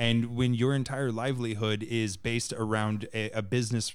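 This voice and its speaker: A man speaks in an unremarkable speaking voice at a medium pitch with fairly even intonation. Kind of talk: casual chat.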